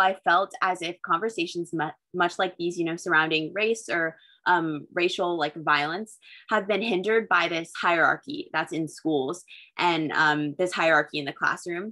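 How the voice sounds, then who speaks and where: Against a quiet background, a woman with an American accent and a bright, sharp, fairly low voice speaks at a moderate pace with ordinary pitch variation. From US Pacific Northwest. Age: young. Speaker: student and co-moderator. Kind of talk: moderated panel discussion. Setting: video call. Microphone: video call.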